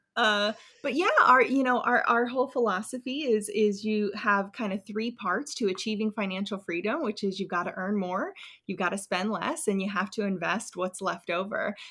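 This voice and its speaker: A bright, sharp tone with a strong American accent. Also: woman, fairly high pitch for a woman, ordinary pitch variation, moderate pace. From US. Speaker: personal finance YouTuber. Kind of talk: interview podcast.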